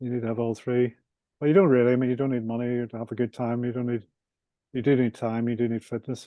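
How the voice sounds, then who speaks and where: In a Northern Irish accent, a man speaks at a very fast pace with a monotone, flat intonation. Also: medium pitch for a man. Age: 60s. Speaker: property developer and author. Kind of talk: podcast interview.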